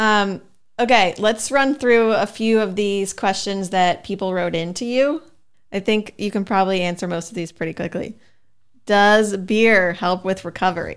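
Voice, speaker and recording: An ordinary speaking voice, a woman at medium pitch with ordinary pitch variation talks at a moderate pace on a very clean recording with a silent background. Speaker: podcast co-host, reads sponsor and listener questions. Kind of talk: casual chat.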